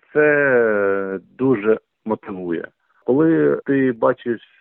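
This man's pitch is medium, and it varies in an ordinary way as he talks. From eastern Ukraine, Donetsk region. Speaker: journalist and volunteer. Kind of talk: interview.

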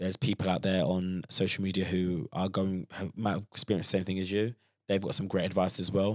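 On a very clean recording with a silent background and a dry, close sound with no echo, a man with a London accent and a very deep, low pitch speaks at a fairly quick pace with fairly even intonation. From London, Croydon. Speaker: personal trainer and content creator. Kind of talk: casual podcast discussion.

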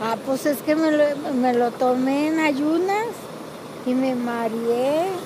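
Over noticeable background noise and audible room echo, a woman with a high pitch speaks at a very slow pace with ordinary pitch variation, very even loudness, and long, frequent pauses. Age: 60s. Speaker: host's mother. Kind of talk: casual interview.

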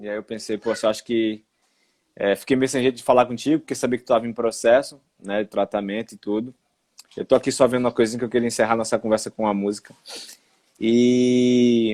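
This man talks at a fairly quick pace in a monotone, flat intonation, with long, frequent pauses. The sound is dry and close, with no echo. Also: medium pitch for a man. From Recife, Brazil. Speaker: live stream host. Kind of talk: casual live stream chat. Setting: at home, online live stream.

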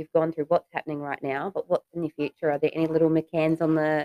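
With an Australian accent and a fairly low pitch, a woman is heard in a dry, close sound with no echo. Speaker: podcast host and real estate agent. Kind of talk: interview.

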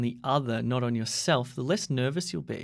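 An unremarkable speaking voice from a man, medium in pitch, at a moderate pace. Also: very clean recording, silent background. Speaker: podcast interviewer and English teacher. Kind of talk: casual interview.

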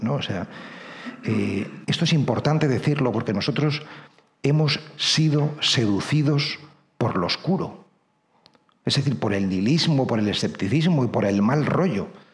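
A man with a fairly high pitch and lively intonation speaks at a fairly slow pace. Long, frequent pauses and audible room echo mark the clip. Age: 50s. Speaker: priest and writer. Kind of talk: lecture.

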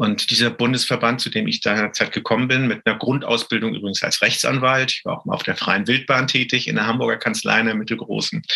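Over noticeable background noise, a man at medium pitch talks at a very fast pace with hardly any pauses and fairly even intonation. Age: 50s. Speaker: trade association executive. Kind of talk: panel discussion. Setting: home office, remote.

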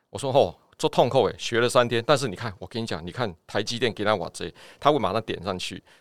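In a very clean recording with a silent background, a man speaks very fast at a medium pitch with ordinary pitch variation, the sound dry and close with no echo. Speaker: doctor. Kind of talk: casual chat.

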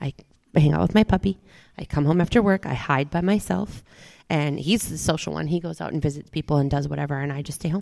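Speaking very fast with an American accent, a woman uses a very deep, low pitch, a dark, mellow tone, vocal fry and lively intonation, the sound dry and close with no echo. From Minneapolis, Minnesota. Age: 40s. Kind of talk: casual chat. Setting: outdoor tiki bar.

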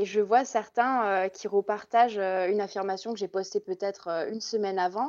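A woman talks in an unremarkable speaking voice at a medium pitch and moderate pace. Her intonation is fairly even, and the background is quiet. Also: hardly any pauses. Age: 20s. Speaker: instagram content creator. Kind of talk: casual chat.

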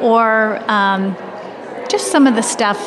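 A woman speaks with an American accent. There is noticeable background noise. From US Midwest, Indiana. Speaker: childhood nutrition expert, dietitian, author. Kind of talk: casual interview conversation.

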